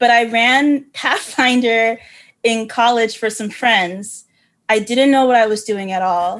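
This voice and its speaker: In a quiet background, a woman with a normal speaking voice talks fairly slowly at a fairly high pitch, her intonation fairly even. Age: 30s. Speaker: game master and show consultant. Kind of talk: casual interview.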